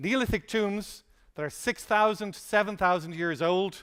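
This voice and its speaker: Someone speaks at a fairly slow pace in a very clean recording with a silent background. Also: man. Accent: Irish. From Ireland. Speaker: conference speaker. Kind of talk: conference keynote talk.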